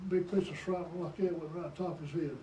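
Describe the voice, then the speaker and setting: A man with an American accent and a high voice talks amid noticeable background noise and audible room echo. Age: 80s+. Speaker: war veteran. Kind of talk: oral history interview. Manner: halting.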